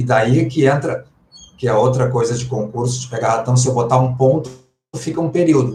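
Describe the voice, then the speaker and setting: With a dark, mellow tone and a somewhat breathy quality, a man talks at a moderate pace and medium pitch, his intonation fairly even. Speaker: Portuguese language teacher. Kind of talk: live online class. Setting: livestream.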